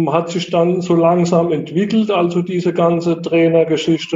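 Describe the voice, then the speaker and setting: Pitched high, a man's voice comes through. He speaks at a moderate pace. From Heidelberg area, Kurpfalz, Germany. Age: middle-aged. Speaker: cycling coach and job placement counselor. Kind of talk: casual interview. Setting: video call.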